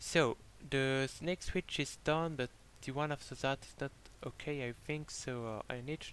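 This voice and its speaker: A man with a French accent, at a moderate pace and with fairly even intonation. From France. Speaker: gaming YouTuber. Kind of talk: gameplay commentary. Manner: halting, many filler words.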